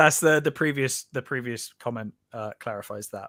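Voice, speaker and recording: In a very clean recording with a silent background and a dry, close sound with no echo, a man with a Bristol accent speaks at a moderate pace in a medium-pitched, bright, sharp voice, with ordinary pitch variation and big swings in loudness. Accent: Bristolian, South West English. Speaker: podcast or live-stream co-host. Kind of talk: casual conversational. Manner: hesitant, many fillers and restarts.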